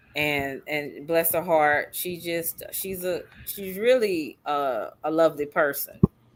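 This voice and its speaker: Speaking very slowly with hardly any pauses, a woman uses a fairly low pitch, ordinary pitch variation and big swings in loudness. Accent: slight Texas. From Southeast Texas. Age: 50s. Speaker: live stream host. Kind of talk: casual chat.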